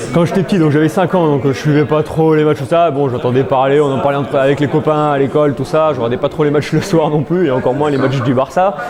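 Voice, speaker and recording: A man's fairly high voice at a very fast pace, with hardly any pauses, fairly even intonation and very even loudness, over noticeable background noise. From southern France, near Montélimar. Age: 20s. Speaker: football fan club member. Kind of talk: interview. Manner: hesitant, many fillers.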